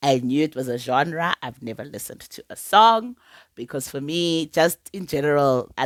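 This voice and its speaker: A woman with a South African accent, very deep and low in pitch, with ordinary pitch variation, a moderate pace, and a dry, close, echo-free sound on a very clean recording with a silent background. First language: Sepedi. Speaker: TV show reviewer. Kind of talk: casual vlog review. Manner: chatty, repetitive, with many fillers.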